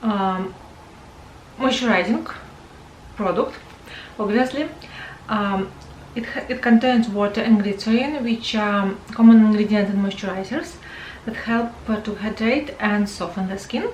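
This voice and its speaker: A woman's fairly high voice at a fairly slow pace, with long, frequent pauses, audible room echo and noticeable background noise. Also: ordinary pitch variation. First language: not English. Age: 40s. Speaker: beauty vlogger. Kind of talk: product review. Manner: halting, many fillers.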